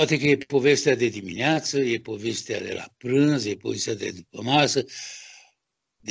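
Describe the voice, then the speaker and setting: A man with a fairly high pitch talks at a moderate speed, his pitch varying in an ordinary way. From Romania. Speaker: sculptor. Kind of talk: interview. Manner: halting.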